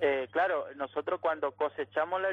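Moderately paced, this is a normal speaking voice. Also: man. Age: 20s. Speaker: rural worker union representative. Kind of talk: phone interview.

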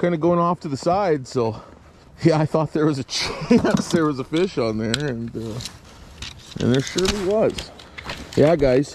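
A man talks at a moderate pace with long, frequent pauses. The sound is dry with no echo, and there is noticeable background noise. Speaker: fishing vlogger. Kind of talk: casual vlog chat. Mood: amused, laughing. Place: open country. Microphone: phone near.

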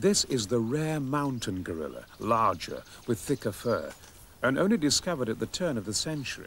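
With light background noise and a dry sound free of echo, a man speaks at a fairly quick pace. His intonation is lively. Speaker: documentary narrator. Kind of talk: documentary narration. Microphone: old recording.

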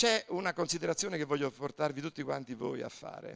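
Lively intonation and vocal fry from a man, over a quiet background. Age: 60s. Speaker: pastor. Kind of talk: sermon. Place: church. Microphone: handheld.

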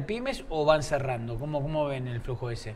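A man with an unremarkable speaking voice, fairly high pitch and moderate pace. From Argentina, Buenos Aires west (Castelar, Morón). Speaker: TV news show host. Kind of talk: TV interview. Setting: studio. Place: studio. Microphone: lapel.

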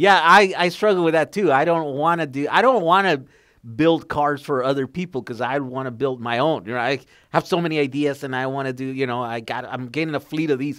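The pace is fairly quick, with hardly any pauses and ordinary pitch variation. The background is quiet. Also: man, fairly high pitch for a man. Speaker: podcast host, EV enthusiast; podcast host. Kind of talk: casual interview chat. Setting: video call. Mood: relaxed, enthusiastic. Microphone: headset.

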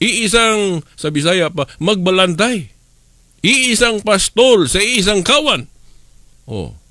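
At a very slow pace, a man with a high pitch and a bright, sharp tone projects a raised voice with lively intonation. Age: 50s. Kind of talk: radio religious teaching.

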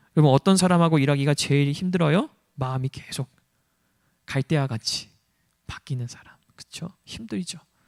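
Pitched fairly high, a man speaks in an animated tone at a moderate pace, with ordinary pitch variation, big swings in loudness, and long, frequent pauses. The sound is dry and close, with no echo. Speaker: pastor. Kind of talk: sermon.

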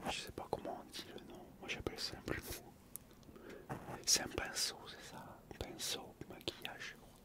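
A man whispers, leaving long, frequent pauses. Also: fairly slow pace, big swings in loudness. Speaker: ASMR creator. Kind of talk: ASMR talk to camera, relaxing. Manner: soft, calm, slow. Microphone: studio mic.

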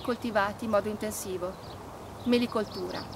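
Noticeable noise sits behind a woman as she speaks. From Trentino, northern Italy. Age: 30s. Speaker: environmental activist. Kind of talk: appeal to support a protest march. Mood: serious, earnest. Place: open country. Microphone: camera far.

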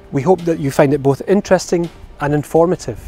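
Faint music plays behind a man speaking at a fairly quick pace. The sound is dry with no echo. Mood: calm, reassuring. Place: street. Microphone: lapel.

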